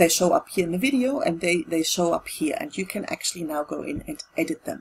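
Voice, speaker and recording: A woman's medium-pitched voice in a German accent, at a fairly quick pace, with very wide pitch swings. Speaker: tutorial video creator. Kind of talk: tutorial. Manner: halting, with fillers and repetitions.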